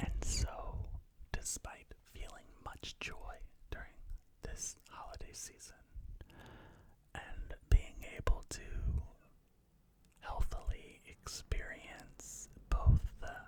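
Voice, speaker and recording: Whispering at a very slow pace, a man with an American accent leaves long, frequent pauses, and his loudness swings widely. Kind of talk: ASMR talk to camera. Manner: whispered, soft-spoken.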